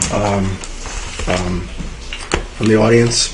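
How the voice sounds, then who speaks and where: A soft-spoken man talks at a moderate pace with a medium pitch. Noticeable background noise and audible room echo surround him. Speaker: commission chair. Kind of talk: public meeting. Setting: meeting room with audience. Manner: halting. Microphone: too quiet.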